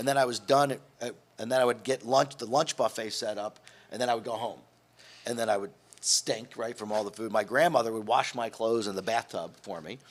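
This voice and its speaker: A man with an unremarkable speaking voice, at a fairly quick pace. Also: medium pitch for a man, ordinary pitch variation. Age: 60s. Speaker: hotel executive. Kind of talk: interview. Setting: studio.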